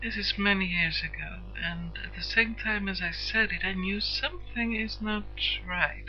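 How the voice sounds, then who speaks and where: Against noticeable background noise, a woman with a Swedish accent talks at a fairly slow pace. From Sweden. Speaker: internet radio host. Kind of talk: personal introduction monologue. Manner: halting, many hesitations; stiff.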